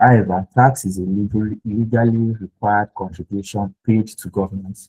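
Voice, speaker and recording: A man speaks at a moderate pace in a dark, mellow tone with monotone, flat intonation, and the sound is dry and close with no echo. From Nigeria. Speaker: tax webinar speaker, researcher. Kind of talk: webinar presentation. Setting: video call with screen share. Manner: hesitant, many fillers.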